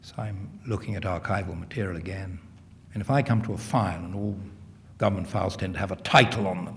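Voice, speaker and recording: Talking at a very fast pace, a man with a fairly low pitch sounds somewhat breathy and keeps his intonation fairly even. His loudness swings widely, and audible room echo surrounds the voice. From England, London. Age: 60s. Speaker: historian. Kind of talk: lecture Q&A answer. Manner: halting, frequent repetitions and fillers.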